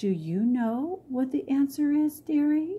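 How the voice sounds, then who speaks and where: A woman uses a put-on character voice. It sits high in pitch and moves at a fairly slow pace. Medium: read story. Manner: motherly, gentle.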